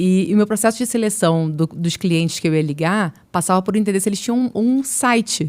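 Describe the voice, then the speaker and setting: A woman's medium-pitched voice at a fairly quick pace, with ordinary pitch variation, very even loudness and hardly any pauses. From Brazil, Niterói (Rio de Janeiro state). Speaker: marketing executive. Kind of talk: podcast interview.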